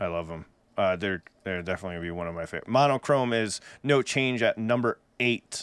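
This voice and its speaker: Recorded very cleanly with a silent background and a dry, close sound with no echo, a man of medium pitch talks at a very fast pace with lively intonation and an American accent. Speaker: music reaction podcast co-host, musician. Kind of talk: casual chat. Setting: live stream.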